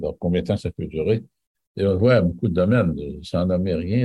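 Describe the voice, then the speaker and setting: Somewhat breathy and dark, mellow in tone, a man talks at a very deep, low pitch with ordinary pitch variation. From Quebec City. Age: 70s. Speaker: real estate investor. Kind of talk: interview. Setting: video call.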